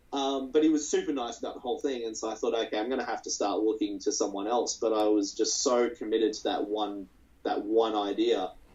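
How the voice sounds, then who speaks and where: Speaking with an Australian accent, a man uses a medium pitch and ordinary pitch variation. His pace is fairly quick. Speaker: anime creator. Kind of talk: interview. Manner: halting.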